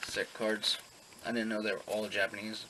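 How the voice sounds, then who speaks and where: A man speaks at a medium pitch and a moderate pace. Noticeable background noise is present. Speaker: pokemon card seller and collector. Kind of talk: casual vlog. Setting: at home. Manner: quiet, lowered voice.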